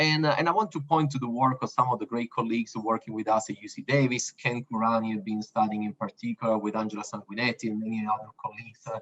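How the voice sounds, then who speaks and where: Spoken in an Italian accent at a very fast pace with hardly any pauses and ordinary pitch variation, the sound is dry and close with no echo. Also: man, medium pitch for a man. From Italy. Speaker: university researcher. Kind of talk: panel discussion. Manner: hesitant, many fillers.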